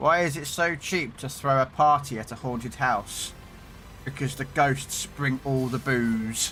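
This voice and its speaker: A man with a British accent at a medium pitch, fairly even intonation and a fairly slow pace. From Britain. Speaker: gaming streamer. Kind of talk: live stream chat with viewers. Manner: casual, chatty.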